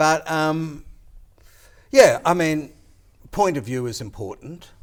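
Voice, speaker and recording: In an Australian accent, a man with a fairly high pitch and lively intonation speaks at a very slow pace, his loudness swinging widely, on a very clean recording with a silent background. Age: old. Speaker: former politician. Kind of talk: casual chat.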